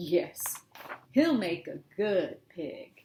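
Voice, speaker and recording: Someone performs a put-on character voice at a middle pitch, with very wide pitch swings. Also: female-sounding voice. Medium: read story. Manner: gentle, coaxing.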